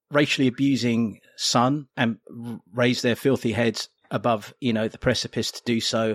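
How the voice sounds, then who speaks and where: A man with an English accent speaks at a moderate pace in a medium pitch, with ordinary pitch variation and a dry, close sound with no echo. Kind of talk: casual chat.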